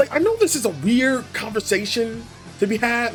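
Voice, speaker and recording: Moderately paced talking set against background music. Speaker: gaming YouTuber. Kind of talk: casual talk to audience. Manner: casual, rambling.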